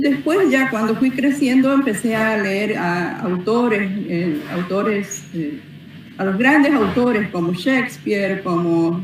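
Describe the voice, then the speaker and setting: Amid audible room echo and noticeable background noise, a woman with fairly high pitch and lively intonation talks at a very slow pace. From Paraguay, Carmen del Paraná. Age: 60s. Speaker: author. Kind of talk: interview. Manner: halting, many fillers.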